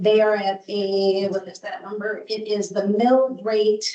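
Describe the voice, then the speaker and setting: A woman speaks at a fairly slow pace with a plain, everyday voice, medium pitch and fairly even intonation. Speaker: presenter at council public hearing. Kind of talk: public hearing presentation.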